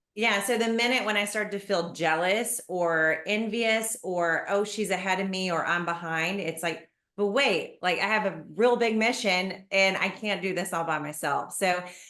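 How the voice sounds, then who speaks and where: In a room with audible echo, a woman speaks at a medium pitch and moderate pace in a bright, sharp tone, with ordinary pitch variation and hardly any pauses. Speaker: garden business owner and teacher. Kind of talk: interview conversation.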